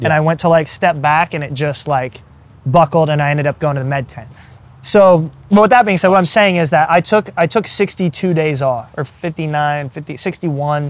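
With an American accent, this is an ordinary speaking voice at a moderate pace with ordinary pitch variation. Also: man, fairly high pitch for a man. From Iowa and Arkansas, US Midwest/South. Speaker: ultrarunner and strength coach. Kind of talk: casual interview. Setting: in person.

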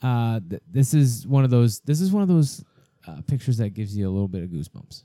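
A man's medium-pitched voice, dark and mellow in tone, with an American accent, very wide pitch swings and a very fast pace. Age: 30s. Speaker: podcast host, retired Air Force veteran. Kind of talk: casual chat.

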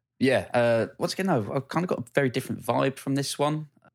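On a very clean recording where the background is silent, a man speaks fairly quickly. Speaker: podcast host. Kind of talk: casual chat.

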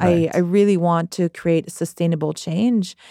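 A woman with a Quebec accent speaks at a moderate pace and medium pitch, her tone dark and mellow. The sound is dry and close with no echo, on a very clean recording with a silent background. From Quebec, Saint-Jean-sur-Richelieu. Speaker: arts coordinator and musician. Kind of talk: casual interview. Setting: studio. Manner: hesitant with fillers.

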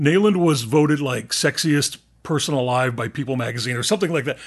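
A fairly quick, fairly high-pitched man with an American accent and an unremarkable speaking voice. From Texas and southeastern New Mexico. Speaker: podcast host. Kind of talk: casual chat.

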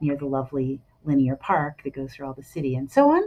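A woman's dark, mellow voice at a moderate pace. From Philadelphia, US. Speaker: affordable housing executive. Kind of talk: interview. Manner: hesitant, many ums.

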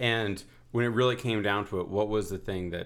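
An unremarkable speaking voice with an American accent. The pace is moderate, with ordinary pitch variation. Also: man. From New Haven, Connecticut, US. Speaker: podcast host. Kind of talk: interview. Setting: at the guest's home.

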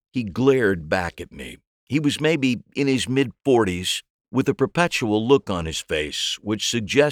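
With lively intonation, the voice reads in an unforced way over a quiet background.

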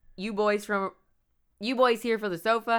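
A female-sounding voice puts on a gravelly character voice with a fairly high pitch. The recording is very clean, with a silent background.

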